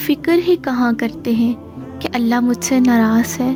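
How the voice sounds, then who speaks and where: Over music in the background, a woman speaks in a high voice with lively intonation. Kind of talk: inspirational religious narration.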